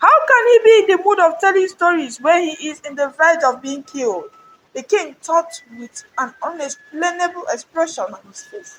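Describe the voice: A woman speaks at a moderate pace with an extremely high pitch, a fairly bright tone, and lively intonation.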